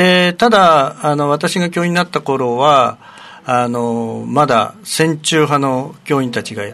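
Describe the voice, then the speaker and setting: A man with a fairly high pitch speaks at a very slow pace. His pitch variation is ordinary. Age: 60s. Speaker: retired primary school teacher. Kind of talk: radio interview.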